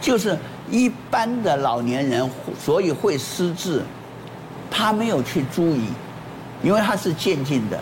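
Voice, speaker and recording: A man speaks at a fairly slow pace and high pitch with very wide pitch swings. Audible room echo and noticeable background noise surround him. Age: 80s+. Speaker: former weather presenter. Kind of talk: casual talk show chat.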